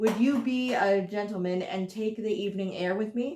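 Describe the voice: Ordinary pitch variation in plain reading aloud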